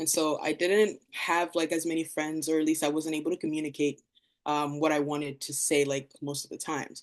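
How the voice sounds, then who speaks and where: Her intonation monotone and flat, a woman speaks in a very deep, low pitch. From Democratic Republic of Congo, moved to US at nine. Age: 20s. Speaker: visual artist. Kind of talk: artist talk presentation. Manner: casual, many fillers.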